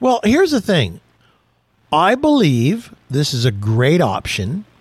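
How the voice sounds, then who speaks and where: This man has an ordinary speaking voice, fairly high in pitch, and he talks at a fairly slow pace. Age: 60s. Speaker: automotive radio host. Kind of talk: casual chat.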